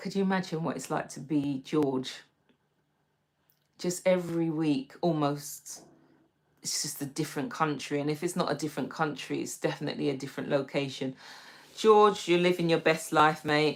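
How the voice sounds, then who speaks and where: A woman with a London accent speaks in a very deep, low voice, with long, frequent pauses. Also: ordinary pitch variation, moderate pace. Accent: British (London). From London, England. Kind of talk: casual livestream chat.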